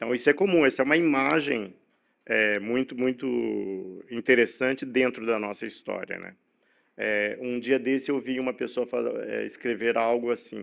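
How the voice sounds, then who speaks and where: Here a man uses a normal speaking voice at a medium pitch. His pace is moderate, with ordinary pitch variation. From Brazil, São Paulo state (Campinas/Hortolândia area). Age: 60s. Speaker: journalist. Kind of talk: podcast interview. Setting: studio.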